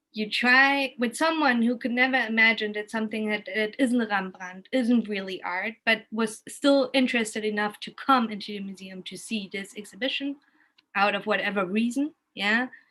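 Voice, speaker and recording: Speaking with a German accent, a woman at fairly high pitch has a bright, sharp tone, a moderate pace, ordinary pitch variation and big swings in loudness. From Germany, Kassel. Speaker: arts and cultural professional, art educator. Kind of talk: casual chat, storytelling on video call. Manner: halting, many restarts.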